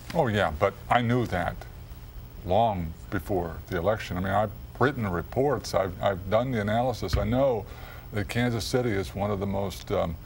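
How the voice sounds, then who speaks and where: A man with a fairly low pitch and ordinary pitch variation is heard through audible room echo and noticeable background noise. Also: moderate pace. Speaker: city mayor. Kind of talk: interview. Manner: measured; hesitant, with fillers.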